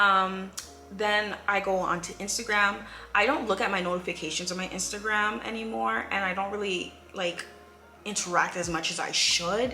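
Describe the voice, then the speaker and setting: Music plays in the background as a woman speaks at a medium pitch with ordinary pitch variation and audible room echo. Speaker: YouTuber. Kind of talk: casual vlog monologue. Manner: fast.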